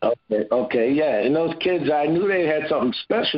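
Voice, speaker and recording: A man with an American accent speaks at a moderate pace. His pitch swings very widely. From Cleveland, Ohio. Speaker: former football player. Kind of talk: interview.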